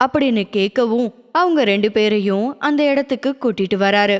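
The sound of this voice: Her pace is moderate. The woman's pitch is fairly high. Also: ordinary pitch variation.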